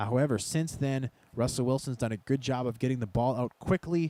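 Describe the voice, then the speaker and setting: At a fairly quick pace, a man talks with a dark, mellow tone and medium pitch, the sound dry and close with no echo. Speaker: gaming video creator. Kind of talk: gameplay commentary. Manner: loud; animated. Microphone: close to the mic, speaks loudly into it.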